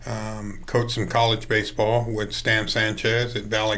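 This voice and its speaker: In a room with audible echo, a man speaks at a moderate pace. His tone is bright and sharp, his pitch fairly low. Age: 60s. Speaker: high school baseball coach. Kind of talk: interview.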